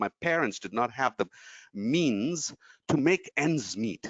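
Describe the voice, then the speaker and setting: The voice has very wide pitch swings and vocal fry. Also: man. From India, Tamil Nadu (Trichy). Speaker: motivational speaker. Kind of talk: webinar talk. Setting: online webinar. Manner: animated.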